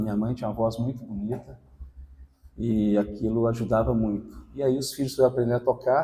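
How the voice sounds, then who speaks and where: A man with a dark, mellow, somewhat breathy tone speaks at medium pitch and a moderate pace, his intonation fairly even. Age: 60s. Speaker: lay preacher. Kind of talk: sermon with personal testimony. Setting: church gathering with congregation.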